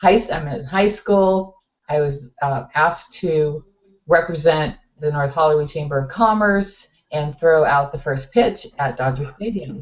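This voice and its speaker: This woman talks at a fairly slow pace in a very deep, low voice that is somewhat breathy. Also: ordinary pitch variation. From US West Coast, Los Angeles area. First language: Finnish. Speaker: talk show co-host. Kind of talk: casual chat. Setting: webcast talk show.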